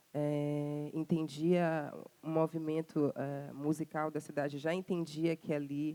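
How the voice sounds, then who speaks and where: A woman speaks at a very deep, low pitch in a dark, mellow tone. Her intonation is monotone and flat, and the sound is dry and close with no echo. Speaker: singer. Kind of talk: interview. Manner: halting, many fillers.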